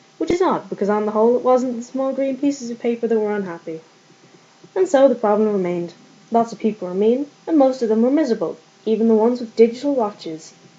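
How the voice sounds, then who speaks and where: Talking at a very fast pace, a woman with a fairly high pitch uses lively intonation amid noticeable background noise. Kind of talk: book reading.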